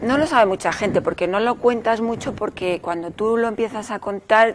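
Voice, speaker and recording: A woman speaks in a plain, everyday voice at a moderate pace. Her pitch varies in an ordinary way. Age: 60s. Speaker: novelist. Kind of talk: interview.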